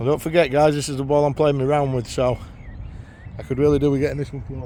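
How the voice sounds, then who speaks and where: In a Yorkshire accent, a man talks at a very fast pace, his fairly high pitch held in a monotone, flat intonation. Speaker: amateur golf vlogger. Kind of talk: casual vlog commentary while playing golf. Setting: outdoors on a golf course.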